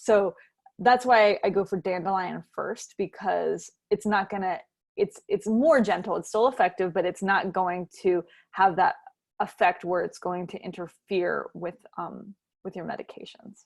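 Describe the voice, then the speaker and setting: The speaker talks at a fairly slow pace with vocal fry and fairly even intonation. The loudness swings widely. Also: woman, medium pitch for a woman. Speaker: clinical herbalist. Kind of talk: workshop lecture.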